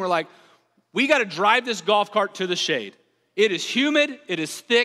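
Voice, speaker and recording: Raised, projected voice in a Southern US accent, with lively intonation at a moderate pace. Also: man. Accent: Southern American. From US South. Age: 30s. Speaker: pastor. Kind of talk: sermon. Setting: church.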